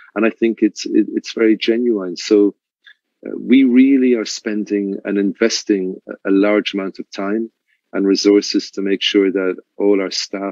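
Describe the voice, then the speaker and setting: With an Irish accent, a man speaks at a moderate pace in a fairly low pitch with fairly even intonation and a dry, close sound with no echo. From Ireland. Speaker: luxury resort manager. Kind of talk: interview. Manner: halting, with repeated words.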